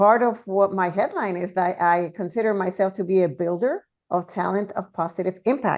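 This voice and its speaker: A woman talks at a moderate pace in a Puerto Rican accent. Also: medium pitch for a woman, ordinary pitch variation. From Puerto Rico. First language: Spanish. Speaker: DEI consultant and speaker. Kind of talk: panel discussion.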